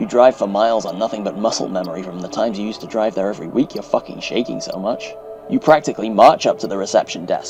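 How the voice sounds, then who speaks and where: A man talks at a very fast pace with big swings in loudness. Music plays in the background. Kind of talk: horror story narration.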